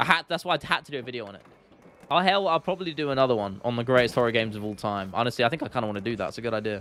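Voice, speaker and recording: In a London accent, a man speaks at a very fast pace. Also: medium pitch for a man. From London, England. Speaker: gaming streamer and YouTuber. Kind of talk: casual live-stream chat. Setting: live stream. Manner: animated, chatty with frequent fillers.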